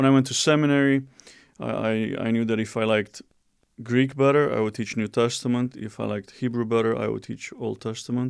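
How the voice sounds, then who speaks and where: Using a fairly quick pace, a man with a Romanian accent speaks at medium pitch with fairly even intonation. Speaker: seminary professor. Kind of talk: interview.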